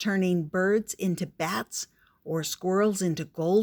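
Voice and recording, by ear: The passage is read aloud in a natural voice.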